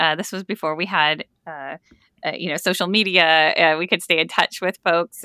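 A woman's plain, everyday voice at a fairly low pitch and a moderate pace. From US Midwest, Dutch immigrant community. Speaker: historian and professor. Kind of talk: interview.

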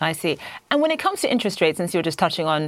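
With lively intonation, a woman speaks in an ordinary speaking voice that sits fairly low. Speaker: news anchor. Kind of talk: news presenting. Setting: studio.

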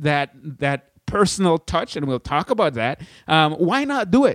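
This man, with a Caribbean accent, speaks at a moderate pace in a fairly high pitch and an animated tone. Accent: Caribbean, put on for the intro only. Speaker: podcast host, blogging educator. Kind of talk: casual solo tutorial. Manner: animated, laughing.

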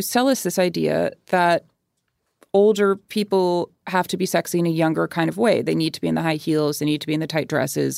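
An ordinary speaking voice comes from a woman at a fairly low pitch, dry and close with no echo in a very clean recording with a silent background. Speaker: culture critic and staff writer. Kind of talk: casual chat.

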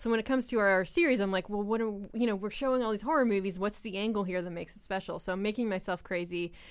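A woman with an American accent speaks at a very fast pace, with hardly any pauses. Her medium pitch shows ordinary pitch variation on a very clean recording with a silent background. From Long Island, New York. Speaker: cinema programmer. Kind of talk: casual chat. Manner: halting.

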